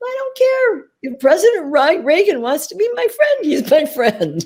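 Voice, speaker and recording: A put-on character voice sits at a high pitch with very wide pitch swings. The pace is moderate. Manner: humorous, dry.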